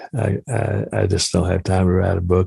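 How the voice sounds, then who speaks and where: A man speaks in a very deep, low pitch with a dark, mellow tone. His voice is somewhat breathy, and the sound is dry and close with no echo. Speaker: lawyer. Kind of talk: interview. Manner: halting.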